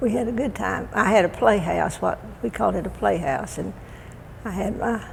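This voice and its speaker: Speaking fairly slowly in a Texan accent, a woman is heard with audible room echo. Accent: Texan Southern. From Texas (Waco, Central Texas). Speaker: elderly resident sharing life story. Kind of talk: oral history interview. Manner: halting.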